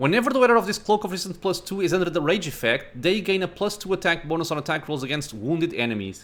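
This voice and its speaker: A man with a non-native accent races at a very fast pace with hardly any pauses, his high pitch swinging very widely. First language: not English. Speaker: gaming YouTuber. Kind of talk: let's play commentary. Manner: casual, thinking aloud.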